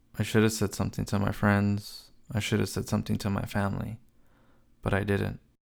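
A man with an American accent at a fairly low pitch, monotone, flat intonation and vocal fry, at a fairly quick pace on a very clean recording with a silent background. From California, US. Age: 20s. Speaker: podcast host. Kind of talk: personal storytelling monologue.

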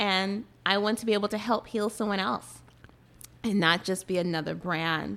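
With an American accent, a woman talks at a moderate pace and medium pitch. Hers is a plain, everyday voice with fairly even intonation. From Boston, Massachusetts. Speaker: skincare business owner. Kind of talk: casual radio interview. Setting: radio studio.

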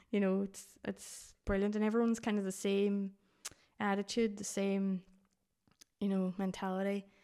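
In a Donegal accent, a woman talks at a moderate pace and medium pitch, her dark, mellow tone held to a monotone, flat intonation. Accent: Donegal Irish. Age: 30s. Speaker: blind hiker. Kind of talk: casual interview.

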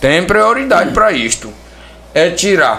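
A man is speaking with audible room echo. Noticeable background noise sits behind him. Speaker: local council pre-candidate. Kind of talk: casual chat. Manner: halting.

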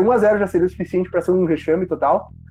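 Noticeable background noise can be heard. A man talks through it. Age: 20s. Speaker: football podcast host. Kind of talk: casual chat.

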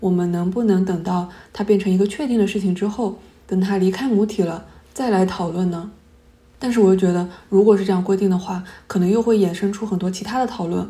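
Her tone is dark and mellow, somewhat breathy, at a medium pitch, with audible room echo. This woman speaks at a very fast pace with fairly even intonation. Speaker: podcast host, academic researcher. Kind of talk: solo podcast monologue.

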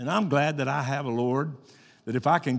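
On a very clean recording with a silent background, a man speaks in an animated tone at a fairly high pitch. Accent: Arkansas. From Arkansas. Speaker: pastor. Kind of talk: sermon. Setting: church.

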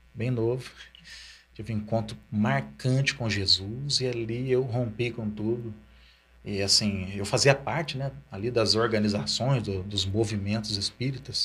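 A man at a fairly slow pace and medium pitch, with ordinary pitch variation and music in the background. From Ribeirão Preto, São Paulo state, Brazil. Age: 40s. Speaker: pastor. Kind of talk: interview testimony.

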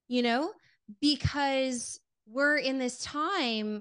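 The background is quiet as a woman speaks with an American accent. Her tone is animated. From US West Coast, Los Angeles. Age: 30s. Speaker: marketing executive. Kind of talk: interview. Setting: video call.

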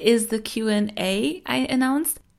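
Captured on a very clean recording with a silent background, a woman speaks at a fairly high pitch with lively intonation. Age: 20s. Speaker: podcast host. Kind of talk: casual monologue.

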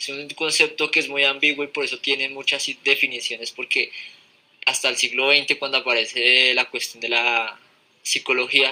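At a moderate pace, a man speaks in a medium-pitched voice with monotone, flat intonation. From Colombia, Fusagasugá. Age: 20s. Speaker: podcast guest. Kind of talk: casual chat. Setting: live stream.

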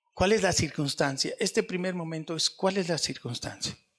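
This man's voice is high in pitch. He keeps a moderate pace. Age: 60s. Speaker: pastor. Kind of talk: sermon.

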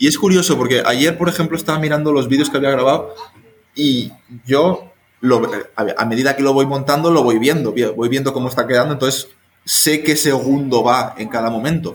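With ordinary pitch variation and a moderate pace, a man speaks in a fairly high voice. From Spain. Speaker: volunteer abroad, filmmaker. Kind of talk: casual chat.

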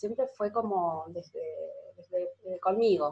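At a fairly slow pace, a woman with an unremarkable speaking voice talks in a fairly high pitch. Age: 30s. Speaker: breathing therapy teacher. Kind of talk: interview.

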